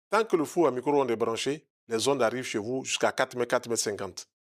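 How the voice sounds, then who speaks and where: Talking at a very fast pace with ordinary pitch variation, a man comes through a very clean recording with a silent background and a dry, close sound with no echo. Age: 60s. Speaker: naturopath. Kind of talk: interview.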